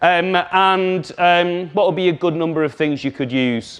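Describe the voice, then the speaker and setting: This man speaks with a Scouse accent. His pitch varies an ordinary amount. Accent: Scouse (Liverpool English). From Liverpool, England. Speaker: communication trainer. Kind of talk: workshop presentation. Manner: animated.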